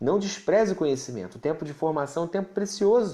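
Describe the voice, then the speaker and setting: A man's lively intonation comes through as he talks at a medium speed. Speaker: pastor and Bible teacher. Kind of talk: livestream teaching with Q&A. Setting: live stream.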